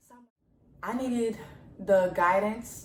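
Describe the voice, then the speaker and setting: With a New Orleans accent, a woman speaks in an animated tone at a medium pitch and moderate pace, amid noticeable background noise and audible room echo. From New Orleans, US South. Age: young. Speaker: student athlete vlogger. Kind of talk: casual Q&A vlog.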